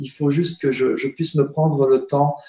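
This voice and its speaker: This man's voice is fairly high in pitch, dark and mellow in tone, and somewhat breathy. He speaks at a fairly slow pace with monotone, flat intonation. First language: not French (speaking French). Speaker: spiritual teacher and alternative healer. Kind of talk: interview on web broadcast. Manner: halting, many hesitations.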